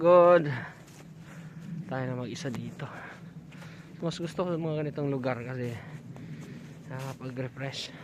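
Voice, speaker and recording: A man's fairly high voice with ordinary pitch variation, long and frequent pauses, and audible room echo. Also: moderate pace. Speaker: vlogger. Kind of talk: walking vlog. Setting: outdoors, mountain park. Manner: soft-spoken.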